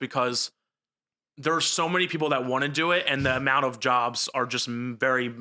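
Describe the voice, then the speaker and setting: The speaker has a New Jersey accent and a bright, sharp tone. The pace is moderate. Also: man. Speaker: news reporter. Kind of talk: casual chat.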